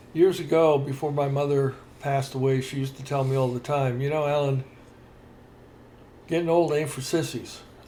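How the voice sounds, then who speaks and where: A man's fairly high-pitched, somewhat breathy voice with a dark, mellow tone, monotone and flat, at a fairly quick pace with long, frequent pauses. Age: 70s. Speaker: podcast co-host. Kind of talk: casual chat. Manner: halting.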